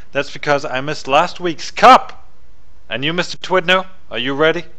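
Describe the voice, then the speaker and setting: Over noticeable background noise, a man with a fairly high pitch speaks at a moderate pace with lively intonation. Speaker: esports caster. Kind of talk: live commentary.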